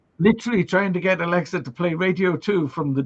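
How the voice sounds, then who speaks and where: A man with a high pitch speaks at a moderate pace in an animated tone with ordinary pitch variation. The sound is dry and close, with no echo. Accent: Welsh. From Wales. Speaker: livestream host. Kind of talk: casual chat. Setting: live stream.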